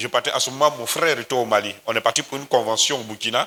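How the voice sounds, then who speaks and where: A man with an Ivorian accent speaks at a fairly high pitch. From Côte d'Ivoire. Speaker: pastor. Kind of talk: sermon.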